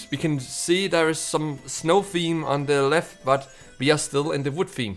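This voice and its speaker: A fairly high male voice at a fairly slow pace, with ordinary pitch variation and music in the background. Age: 20s. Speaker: gaming YouTuber. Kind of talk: casual gaming commentary. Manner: loud, excitable.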